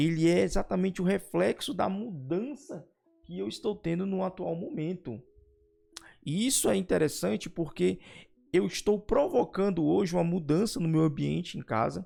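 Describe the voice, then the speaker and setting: Over music in the background, a man talks with lively intonation at a high pitch. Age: 40s. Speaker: youtuber and teacher. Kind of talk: casual vlog talk.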